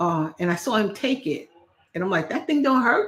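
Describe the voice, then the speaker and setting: Speaking at a fairly quick pace, a woman lets her pitch swing very widely. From New York. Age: 60s. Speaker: cooking and lifestyle vlogger. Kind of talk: casual livestream talk. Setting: livestream. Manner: halting, repetitive.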